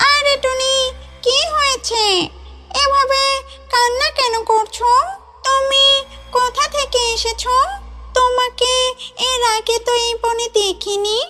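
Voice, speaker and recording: A woman's cartoonish character voice at an extremely high pitch and very slow pace, over clear music in the background. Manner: warm, gentle.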